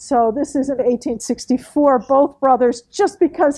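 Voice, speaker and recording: This loud voice has a dark, mellow tone and ordinary pitch variation. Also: woman. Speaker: historian. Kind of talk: lecture. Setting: meeting room with audience. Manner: loud, projecting.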